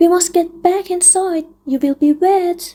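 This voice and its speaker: A woman uses a squeaky, put-on character voice at an extremely high pitch. She talks at a fairly slow pace with fairly even intonation. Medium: read story. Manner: polite, attentive.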